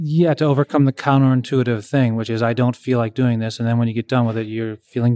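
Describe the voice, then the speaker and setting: On a very clean recording with a silent background, a man talks at a very fast pace with hardly any pauses and fairly even intonation. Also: dry, close sound with no echo. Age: 50s. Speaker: high school English teacher with Parkinson's. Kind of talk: interview.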